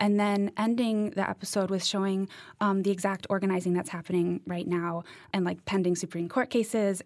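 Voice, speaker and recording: An unremarkable speaking voice, a woman's at medium pitch, goes at a fairly quick pace with an American accent and fairly even intonation in a very clean recording with a silent background. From Massachusetts (Cambridge). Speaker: PhD student and podcast producer. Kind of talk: panel discussion.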